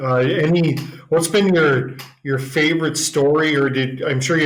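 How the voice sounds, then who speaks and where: With a Minnesotan accent, a man speaks at a moderate pace with fairly even intonation. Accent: Minnesota. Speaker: software company co-owner, podcast co-host. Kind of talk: podcast interview.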